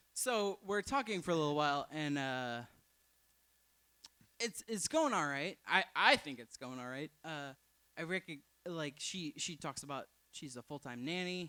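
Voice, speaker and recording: This man's fairly high, bright, sharp voice mumbles at a moderate pace with lively intonation, big swings in loudness and long, frequent pauses. The sound is dry and close with no echo, on a very clean recording with a silent background. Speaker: storyteller. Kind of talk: storytelling. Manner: mumbling; halting.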